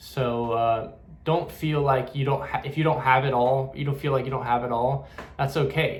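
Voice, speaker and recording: The voice carries audible room echo. Its intonation stays monotone and flat. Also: man, medium pitch for a man. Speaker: spiritual medium. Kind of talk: casual spiritual talk to camera. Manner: fast; halting, with many fillers and repeats.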